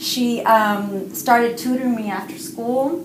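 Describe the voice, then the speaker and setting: Speaking at a very slow pace, a woman is heard with noticeable background noise and audible room echo. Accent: Spanish. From Cuba. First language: Spanish. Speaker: writer and parent educator. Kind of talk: interview.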